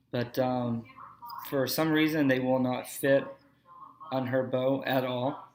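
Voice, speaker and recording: A man with a fairly high pitch speaks at a fairly slow pace with fairly even intonation. There is noticeable background noise. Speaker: archery hobbyist. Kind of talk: tutorial. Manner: casual, hesitant with fillers.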